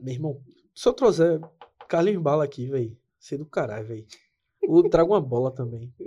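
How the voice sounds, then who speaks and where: A man with a fairly high pitch speaks at a fairly quick pace, with long, frequent pauses and lively intonation. His tone is dark, mellow and somewhat breathy, and his loudness swings widely. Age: 20s. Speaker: podcast co-host, graphic designer. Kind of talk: casual chat. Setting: studio.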